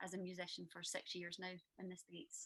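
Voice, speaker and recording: A woman with a Scottish accent, bright and sharp in tone, at a moderate pace. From Scotland, Glasgow. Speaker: musician. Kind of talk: casual chat.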